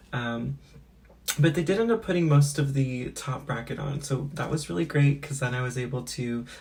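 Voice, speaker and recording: A woman speaks at a moderate pace in a very deep, low pitch, sounding somewhat breathy. Her intonation is lively. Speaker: beauty and lifestyle vlogger. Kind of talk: casual vlog talk to camera. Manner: casual with many fillers.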